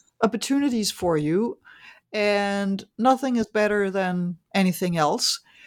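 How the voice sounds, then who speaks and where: The recording is dry and close with no echo. A woman with a Danish accent speaks at medium pitch with ordinary pitch variation. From Denmark. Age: 50s. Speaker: economist and author. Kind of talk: interview. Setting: remote call.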